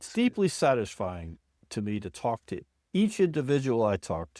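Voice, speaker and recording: At a moderate pace and medium pitch, a man's dark, mellow tone moves through very wide pitch swings and big swings in loudness, recorded very cleanly with a silent background and a dry, close sound with no echo. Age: 70s. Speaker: industrial psychologist and executive coach. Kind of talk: interview conversation.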